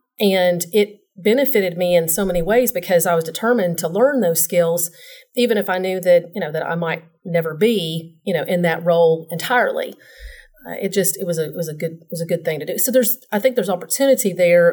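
A woman speaks in a Southern US accent at a fairly quick pace. Her pitch is fairly low, with ordinary variation. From Tennessee, Nashville. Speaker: insurance professional. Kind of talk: casual interview.

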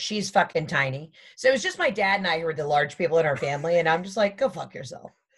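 Over a very clean recording with a silent background, a woman talks very fast in a fairly low, somewhat breathy voice with hardly any pauses. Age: 30s. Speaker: comedian. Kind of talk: casual chat.

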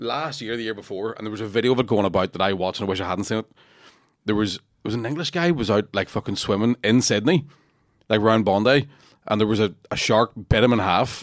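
Very fast speech in a Northern Irish accent with ordinary pitch variation, on a very clean recording with a silent background and a dry, close sound with no echo. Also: man, fairly low pitch for a man. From Northern Ireland, Lurgan. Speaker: comedian. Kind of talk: casual chat.

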